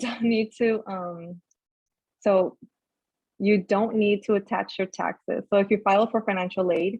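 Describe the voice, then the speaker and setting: Fairly slow and fairly even in intonation, a woman speaks at medium pitch. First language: not English. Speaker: peer mentor. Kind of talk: online workshop presentation.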